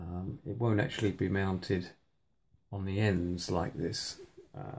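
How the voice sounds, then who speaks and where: A man with a British accent speaks very slowly at a very deep, low pitch, his intonation fairly even. His tone is dark and mellow, and somewhat breathy. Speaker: hobbyist maker. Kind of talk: workshop tutorial. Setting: home workshop at night. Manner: hesitant, many fillers.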